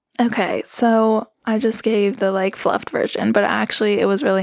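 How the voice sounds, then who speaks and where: With a Southern California accent, a woman talks at a fairly quick pace in a fairly high, monotone, flat delivery. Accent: American, Valley-girl inflections. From Colorado, Roaring Fork Valley. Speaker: podcast co-host interviewed as guest. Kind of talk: casual conversational interview.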